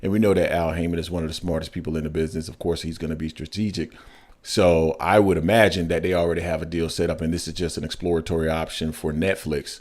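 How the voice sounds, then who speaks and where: Very fast and monotone, a man talks with flat intonation in a very deep, low pitch. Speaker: boxing podcast host. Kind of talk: casual chat.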